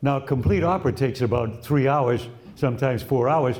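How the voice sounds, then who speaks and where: Speaking at a fairly quick pace, a man with an American accent sounds somewhat breathy, his medium pitch varying in an ordinary way. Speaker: radio broadcaster. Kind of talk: interview answer.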